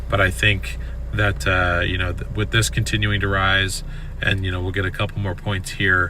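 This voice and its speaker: A man is speaking here. Noticeable background noise and audible room echo come through. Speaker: delivery driver streamer. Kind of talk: live stream chat. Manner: casual, filler words.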